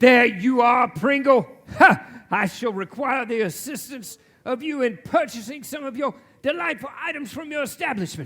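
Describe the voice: A man's put-on character voice, extremely high-pitched and fairly bright, with lively intonation, a moderate pace and few pauses.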